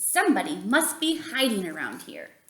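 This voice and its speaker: A woman does a growling put-on character voice at a high pitch and a moderate pace. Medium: read story.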